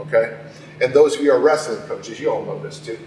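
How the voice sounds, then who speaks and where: The room adds audible echo, and noticeable background noise comes through. The speaker is a man. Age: 60s. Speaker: strength coach. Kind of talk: conference talk. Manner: animated.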